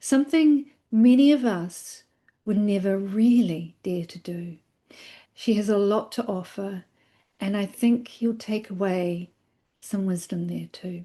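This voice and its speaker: A somewhat breathy woman's voice, dark and mellow, at medium pitch with ordinary pitch variation, fairly slow pace, long, frequent pauses and big swings in loudness. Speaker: podcast host. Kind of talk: casual podcast interview.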